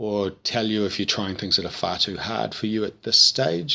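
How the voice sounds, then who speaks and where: A man with a New Zealand accent talks at a moderate pace in a fairly low voice. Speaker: vocal tutor. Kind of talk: tutorial. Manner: casual, hesitant with frequent 'um'.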